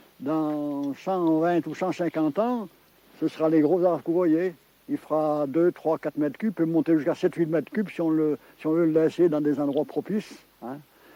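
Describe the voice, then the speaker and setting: With a dark, mellow tone and a fairly high pitch, a man speaks at a moderate pace with ordinary pitch variation in a dry, close sound with no echo. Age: 80s+. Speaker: forester. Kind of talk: interview.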